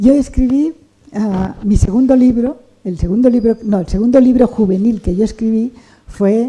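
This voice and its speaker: Speaking with a Catalan accent, a woman has a fairly high-pitched voice. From Catalonia, Barcelona. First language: Catalan (speaking Spanish). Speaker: writer. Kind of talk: interview conversation. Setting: bookshop event with audience.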